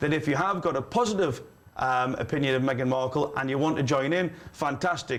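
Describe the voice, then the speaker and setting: Speaking at a fairly quick pace, a man with a Geordie accent uses ordinary pitch variation. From northeast England. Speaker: livestream host. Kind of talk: live call-in show. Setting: studio. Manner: animated.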